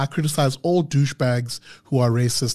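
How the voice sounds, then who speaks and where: The man's voice is somewhat breathy, with a dark, mellow tone. His intonation stays fairly even. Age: 30s. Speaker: podcast host. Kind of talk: casual chat; rant. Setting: studio.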